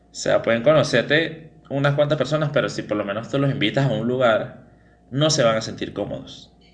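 Fairly high-pitched with ordinary pitch variation, a man talks at a fairly quick pace in an unremarkable speaking voice. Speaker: podcast host. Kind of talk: casual chat.

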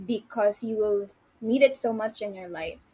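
At a moderate pace, a woman talks with a fairly high pitch in a somewhat breathy voice. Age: 20s. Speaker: magazine writer. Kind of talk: casual interview.

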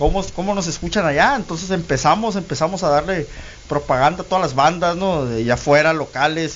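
Talking at a fairly quick pace, the man has a high pitch. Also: ordinary pitch variation. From Guaymas, Sonora, Mexico. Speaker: internet radio founder. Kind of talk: interview. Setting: radio studio.

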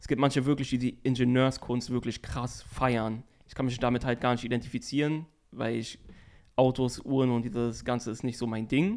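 At a medium pitch and moderate pace, a man speaks with monotone, flat intonation. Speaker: podcast co-host. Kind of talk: casual chat.

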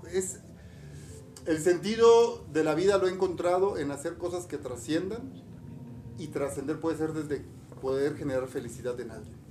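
At a moderate pace, a man with a fairly high pitch speaks in an animated tone, leaving long, frequent pauses. Room echo can be heard. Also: lively intonation. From Mexico, Campeche. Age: 50s. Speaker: podcast co-host, entrepreneur. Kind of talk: casual chat.

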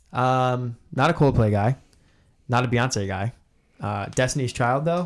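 On a very clean recording with a silent background, a man talks in a normal speaking voice at a medium pitch, with ordinary pitch variation and a fairly slow pace. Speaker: podcast co-host. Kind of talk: casual chat.

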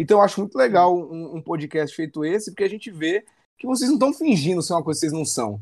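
Against a quiet background, a man speaks very fast in a high pitch. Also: lively intonation. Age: 20s. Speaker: coffee specialist and CrossFit athlete. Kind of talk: casual chat.

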